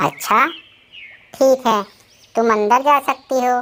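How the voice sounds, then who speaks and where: A woman does a cartoonish character voice at a high pitch and a fairly slow pace. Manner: brusque.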